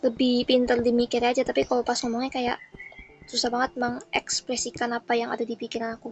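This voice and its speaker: A woman's high-pitched, very fast speech with monotone, flat intonation, a dry, close sound with no echo and noticeable background noise. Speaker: gaming streamer. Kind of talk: casual gameplay commentary. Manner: controlled, restrained voice.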